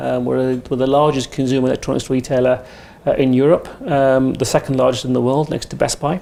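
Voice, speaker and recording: Noticeable background noise sits under a man's voice. He speaks with an English accent and monotone, flat intonation. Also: medium pitch for a man, fairly quick pace. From England, Indian parents. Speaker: retail technology executive. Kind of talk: podcast interview. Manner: hesitant, many fillers.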